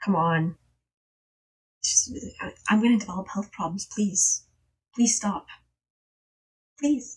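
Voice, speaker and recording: A woman with a medium pitch and a somewhat breathy voice speaks at a fairly slow pace, her pitch varying in an ordinary way, her loudness swinging widely and her long pauses coming often. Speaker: streamer. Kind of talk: casual chat. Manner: animated.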